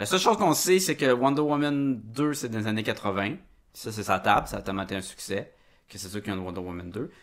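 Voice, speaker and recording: Lively intonation and big swings in loudness mark this fairly quick delivery in a Quebec accent. The recording is very clean, with a silent background. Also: man, fairly low pitch for a man. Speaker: podcast host. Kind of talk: casual chat.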